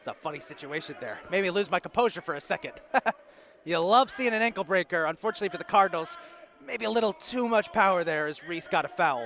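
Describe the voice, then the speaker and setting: Over noticeable background noise, a man talks very fast at a high pitch with lively intonation. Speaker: basketball play-by-play commentator. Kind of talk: live commentary. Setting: college gym broadcast. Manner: animated.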